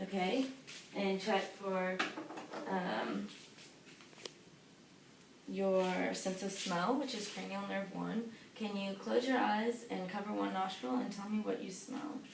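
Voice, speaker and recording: Amid noticeable background noise, a woman talks very slowly with ordinary pitch variation and long, frequent pauses. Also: medium pitch for a woman. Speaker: physician assistant (student) giving a physical exam. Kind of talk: clinical exam roleplay, instructional narration. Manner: calm, matter-of-fact, explaining each step.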